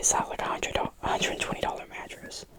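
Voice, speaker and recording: A whisper at a moderate pace can be heard through noticeable background noise. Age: 20s. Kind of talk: ASMR whisper ramble, casual talk to camera. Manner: whispered, soft-spoken.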